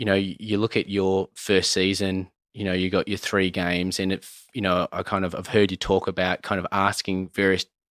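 A man with an Australian accent speaks at a very deep, low pitch in a monotone, flat intonation. The sound is dry and close with no echo, and the recording is very clean over a silent background. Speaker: podcast host. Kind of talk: casual interview. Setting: video podcast.

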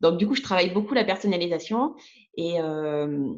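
Her voice sits at a fairly low pitch with ordinary variation. The woman talks at a moderate pace. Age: 40s. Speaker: ceramic artist. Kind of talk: interview.

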